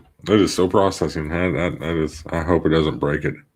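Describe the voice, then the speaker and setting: A man mumbles at a moderate pace with vocal fry. His very deep, low voice keeps a fairly even intonation. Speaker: podcaster. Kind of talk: solo livestream, editing while talking. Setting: livestream from home. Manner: mumbling; halting.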